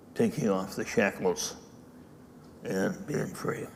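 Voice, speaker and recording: Against noticeable background noise, a man talks at a very slow pace with lively intonation. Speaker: dharma teacher. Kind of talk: dharma talk.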